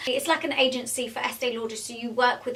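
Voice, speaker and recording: Her tone bright and sharp, a woman speaks in a London accent with fairly even intonation. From England. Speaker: beauty vlogger and makeup artist. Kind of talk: casual Q&A vlog. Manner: chatty, with many fillers.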